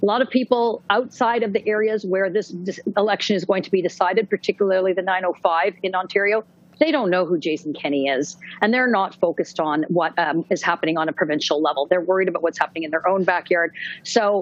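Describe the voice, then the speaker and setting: This woman talks very fast with a Canadian accent. Her pitch sits in the medium range and moves in an ordinary way. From western Canada. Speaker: political journalist. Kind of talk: panel discussion.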